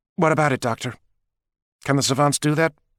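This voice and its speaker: In a raspy put-on character voice, a man speaks at a very fast pace. His pitch is fairly high and his intonation fairly even. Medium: read story. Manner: brisk, sardonic.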